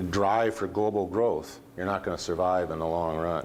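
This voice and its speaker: Amid noticeable background noise and audible room echo, a man with an American accent talks at a very deep, low pitch with ordinary pitch variation. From US Northwest, small town. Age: 60s. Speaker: company CEO. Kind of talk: speech. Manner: halting.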